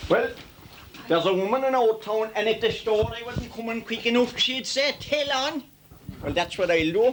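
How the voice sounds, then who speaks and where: Ordinary pitch variation in a Limerick accent, with noticeable background noise. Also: man, extremely high pitch for a man, moderate pace. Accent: rural Irish, Limerick. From Ireland. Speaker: traditional storyteller. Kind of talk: humorous folk storytelling. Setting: outdoors.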